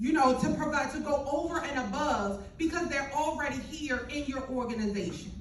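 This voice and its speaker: A loud woman with a high pitch speaks in an animated tone with hardly any pauses. Noticeable background noise and audible room echo fill the recording. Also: ordinary pitch variation, moderate pace. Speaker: business owner speaking on a panel. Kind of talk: panel discussion talk. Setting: panel event with mic and audience.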